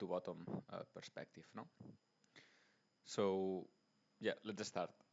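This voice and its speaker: A man speaks with a very deep, low voice and a Spanish accent. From Spain. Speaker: investing YouTuber. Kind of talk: tutorial. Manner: halting, many fillers and restarts.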